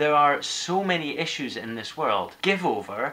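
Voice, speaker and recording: In an Edinburgh accent, a man speaks at a fairly slow pace and a fairly high pitch. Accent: Scottish (Edinburgh). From Scotland. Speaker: vlogger. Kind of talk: casual vlog. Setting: outdoors. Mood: earnest, impassioned. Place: kitchen. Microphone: webcam.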